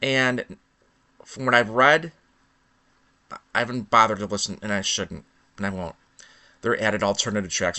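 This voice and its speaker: A man talks at a fairly quick pace in a Chicago accent. His pitch is fairly low. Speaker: vlogger. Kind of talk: impromptu rant monologue. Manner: halting, with false starts.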